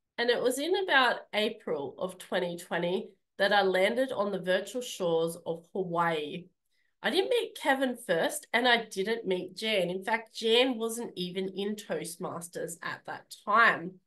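With an Australian accent and a bright, sharp tone, a woman speaks at a fairly slow pace with ordinary pitch variation. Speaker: public speaking club leader; speaker. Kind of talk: speech. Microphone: video call.

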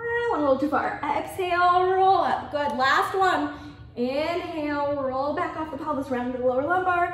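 Recorded with audible room echo, a woman speaks at a high pitch with ordinary pitch variation. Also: moderate pace. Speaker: fitness instructor. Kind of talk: guided Pilates class. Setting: video class from a studio. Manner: calm, rhythmic, coaching cues with counted breaths; encouraging, upbeat. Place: gym.

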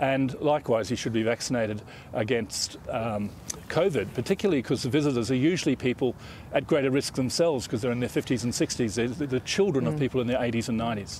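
Light background noise sits under a dry sound with no echo. A man talks at a very fast pace with ordinary pitch variation. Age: 50s. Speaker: infectious diseases professor. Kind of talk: news interview. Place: garden. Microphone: lapel.

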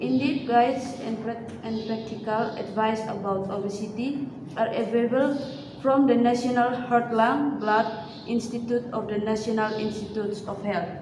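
Over noticeable background noise, a woman talks in a fairly high pitch. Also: fairly even intonation, moderate pace. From Indonesia. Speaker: nursing student. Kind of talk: reading aloud. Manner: halting. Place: classroom. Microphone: camera far.

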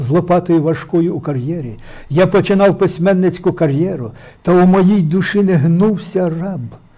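A man with a high-pitched, dark and mellow voice speaks at a moderate pace with ordinary pitch variation against a quiet background. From Ukraine, Poltava region; Ukraine. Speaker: poet, war veteran; guest. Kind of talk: interview with poetry reading. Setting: studio. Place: studio. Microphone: lapel.

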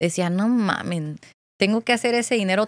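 A woman speaks with ordinary pitch variation against a quiet background, the sound dry with no echo. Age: 20s. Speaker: content creator; podcast guest, content creator. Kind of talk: casual chat. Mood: relaxed, anecdotal. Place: studio. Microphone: studio mic.

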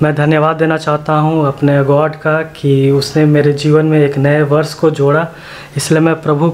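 Light background noise sits under a man's voice. He speaks at a fairly slow pace with monotone, flat intonation. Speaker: motovlogger. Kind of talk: casual vlog chat. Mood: grateful, cheerful. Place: home room. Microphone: phone near.

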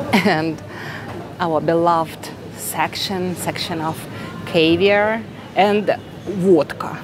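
A woman speaks very slowly with a Russian accent, her voice fairly low with ordinary pitch variation and long, frequent pauses. The sound is dry with no echo, though background noise is noticeable. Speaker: vlogger. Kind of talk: vlog, casual store tour. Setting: supermarket, in store. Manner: quiet, calm; conversational, friendly. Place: shop. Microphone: phone near.

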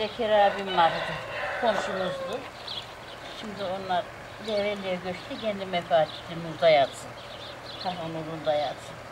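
Amid noticeable background noise, a woman speaks at a moderate pace with ordinary pitch variation and long, frequent pauses. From Turkey. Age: 60s. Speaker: farmer, host's mother; mother of the vlogger. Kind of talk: casual chat. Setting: outdoors in a village garden. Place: garden. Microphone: camera far.

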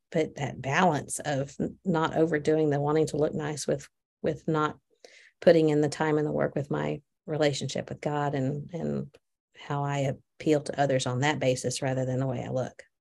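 Speaking at a moderate pace, a woman has a very deep, low pitch, flat, monotone intonation and vocal fry. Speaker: podcast co-host. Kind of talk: casual chat. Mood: reflective, thoughtful. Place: office. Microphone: video call.

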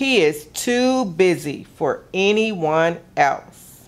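A woman's warm, gentle tone with lively intonation. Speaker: museum gallery programs director reading a story. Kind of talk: children's picture-book story time, read aloud. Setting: video broadcast for kids at home. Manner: warm, gentle, expressive storyteller pace. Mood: warm, gently expressive.

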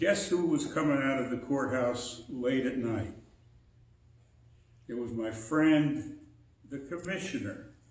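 Very slow pace from a man, long, frequent pauses, ordinary pitch variation, audible room echo. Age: 80s+. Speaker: preacher. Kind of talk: sermon. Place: church. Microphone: podium.

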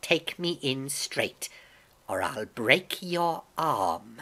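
In a put-on character voice, a woman speaks at an extremely low pitch for a woman, with a fairly bright tone, lively intonation and a very slow pace.

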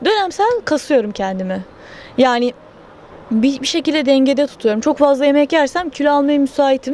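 A high-pitched woman at a moderate pace, with a dry sound and no echo. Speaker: interviewee. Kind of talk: interview answer. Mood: playful, joking about camera. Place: street. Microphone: handheld.

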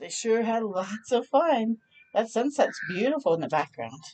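Her voice is fairly high in pitch with a slightly mellow tone, and this woman's pitch swings widely. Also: moderate pace.

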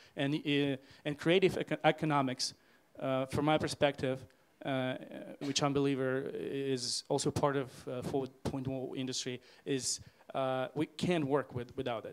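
A man with a fairly high pitch speaks at a fairly slow pace in a monotone, flat intonation over light background noise. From Ukraine. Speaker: deputy minister and IT founder. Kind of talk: panel discussion answer. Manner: halting, hesitant. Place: stage. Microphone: handheld.

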